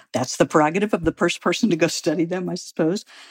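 A woman's fairly low-pitched voice with a Midwestern American accent. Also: dry, close sound with no echo. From US Midwest, St. Louis, Missouri. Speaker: biology professor. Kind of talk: interview.

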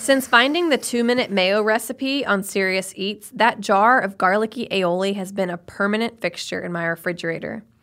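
A woman with an unremarkable speaking voice, medium pitch and ordinary variation at a moderate pace, in a very clean recording over a silent background. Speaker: podcast host. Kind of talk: scripted narration.

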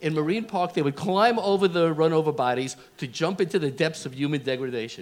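Someone with a Brooklyn accent talks very fast with lively intonation. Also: man, fairly high pitch for a man. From Brooklyn, New York. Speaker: podcast guest. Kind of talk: comedic storytelling.

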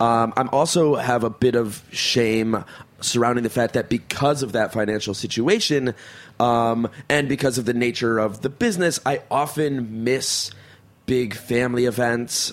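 Using a normal speaking voice, a man talks at a moderate pace with a medium pitch. His intonation is fairly even and his loudness very even. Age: 30s. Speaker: podcast co-host and actor. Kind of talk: casual chat.

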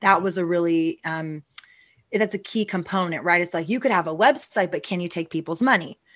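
A woman's ordinary speaking voice, fairly low in pitch with ordinary pitch variation, in an American accent at a fairly quick pace against a quiet background. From Texas. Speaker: CEO of a CBD brand. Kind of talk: interview.

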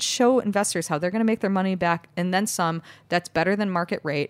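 Here a woman with an American accent talks at a very fast pace and a medium pitch. The recording is very clean with a silent background, and the sound is dry and close with no echo. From Chicago, US Midwest. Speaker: bakery co-founder and CEO. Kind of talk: interview, casual chat.

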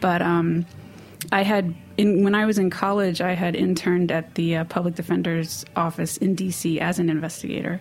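A woman speaks at a moderate pace and a fairly low pitch, her intonation monotone and flat and her loudness very even, with noticeable background noise. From New York City (Manhattan, Hell's Kitchen). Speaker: head baker. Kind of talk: interview. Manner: halting.

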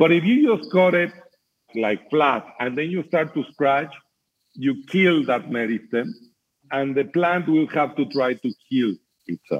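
Speaking at a moderate pace, a man has an unremarkable speaking voice with a fairly high pitch. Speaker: mezcal producer and scientist. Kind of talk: interview explanation.

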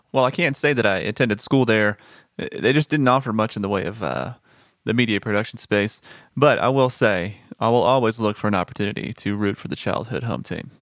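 In a very clean recording with a silent background, a man speaks at a fairly quick pace and medium pitch with ordinary pitch variation, an unremarkable speaking voice. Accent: American. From Texas. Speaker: audio producer. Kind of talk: casual chat.

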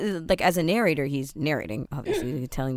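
A woman with a very deep, low pitch and ordinary pitch variation comes through on a very clean recording with a silent background. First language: Tamil. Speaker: podcast host. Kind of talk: casual chat.

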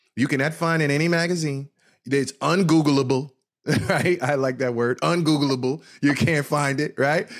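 The speaker sounds animated and talks with an American accent. Loudness stays very even throughout. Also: man, fairly high pitch for a man. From New Jersey. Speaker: event organizer. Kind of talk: interview. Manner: fast.

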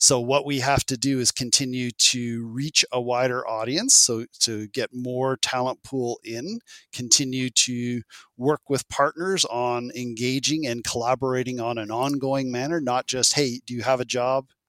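A man speaks in an unremarkable speaking voice at medium pitch, fairly slowly and with fairly even intonation. The recording is very clean with a silent background, and the sound is dry and close with no echo. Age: 50s. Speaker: employment program manager. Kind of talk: interview.

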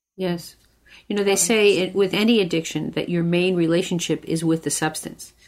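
In a very clean recording with a silent background, a woman talks at a fairly quick pace and fairly low pitch, with fairly even intonation, in a plain, everyday voice. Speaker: podcast co-host. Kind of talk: interview.

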